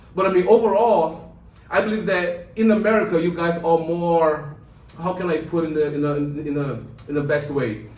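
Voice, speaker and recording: Amid audible room echo, a man with a slight Brazilian accent and a high voice speaks at a moderate pace, with ordinary pitch variation and long, frequent pauses. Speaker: lawyer. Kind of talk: interview. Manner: casual.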